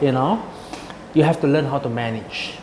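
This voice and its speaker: Noticeable background noise accompanies a man whose fairly high voice shows ordinary pitch variation. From Singapore. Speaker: executive chef. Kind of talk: interview. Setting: restaurant. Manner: halting.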